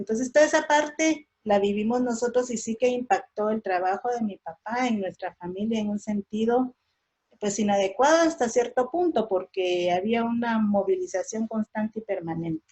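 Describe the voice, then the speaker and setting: With a Guatemalan accent, a woman speaks at a moderate pace, her fairly high voice somewhat breathy and her intonation lively. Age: 60s. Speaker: daughter of a railway union leader, conference speaker. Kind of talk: oral history testimony. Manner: halting, repetitive.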